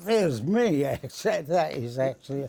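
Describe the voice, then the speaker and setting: Speaking at a very slow pace, the man has a fairly high pitch. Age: 80s+. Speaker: war veteran. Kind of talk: interview answer.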